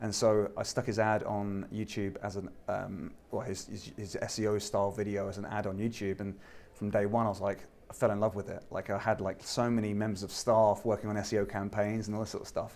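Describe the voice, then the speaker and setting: The delivery moves at a fairly quick pace. Its intonation is monotone, flat. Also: man, fairly low pitch for a man. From southern England (Eastbourne). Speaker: YouTube advertising expert. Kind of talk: interview. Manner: casual, many fillers.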